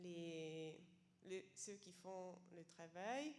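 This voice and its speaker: Over noticeable background noise, a woman with a non-native accent speaks at medium pitch with ordinary pitch variation. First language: not French (speaking French). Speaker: seminar participant, homelessness sector worker. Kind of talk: question from the floor at a seminar. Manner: halting, many hesitations.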